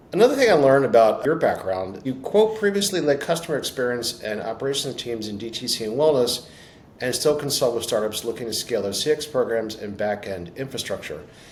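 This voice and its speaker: The speech races along at a very fast pace with very wide pitch swings and noticeable background noise. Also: man, medium pitch for a man. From Baltimore, US. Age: 60s. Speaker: podcast host. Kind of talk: interview.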